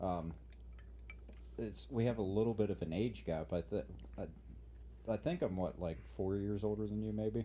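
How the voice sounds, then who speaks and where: Somewhat breathy, a man with a fairly low pitch and a dark, mellow tone speaks at a moderate pace with lively intonation and long, frequent pauses. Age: 20s. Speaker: podcast co-host, mechanic hobbyist. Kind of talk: casual chat.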